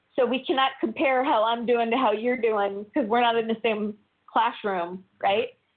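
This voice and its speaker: A woman's plain, everyday voice, fairly high in pitch, with ordinary pitch variation, a moderate pace and very even loudness. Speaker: guest speaker on self-improvement. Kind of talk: interview. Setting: phone call.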